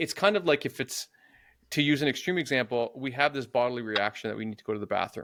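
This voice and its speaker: A man talks at a very fast pace with a bright, sharp tone. The recording is very clean, with a silent background. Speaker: podcast host. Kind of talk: podcast interview, conversational.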